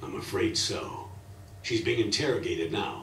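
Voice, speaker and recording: A raspy, put-on character voice from a man at a moderate pace, with a slight echo. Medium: video game.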